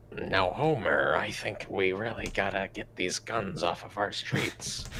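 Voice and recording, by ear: A man's put-on character voice, fairly low in pitch, over clear background noise. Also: moderate pace.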